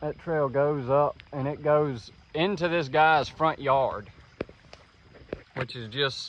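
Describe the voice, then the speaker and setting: A man with a Mississippi accent at a very slow pace, ordinary pitch variation, and noticeable background noise. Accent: US Southern (Mississippi). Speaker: trapper. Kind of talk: outdoor vlog narration. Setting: outdoors, walking along a creek.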